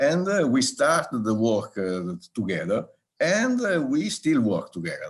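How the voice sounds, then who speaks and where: In an Italian accent, a man talks at a fairly slow pace. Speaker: regional government soil expert. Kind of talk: live online round table talk. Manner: halting, many fillers.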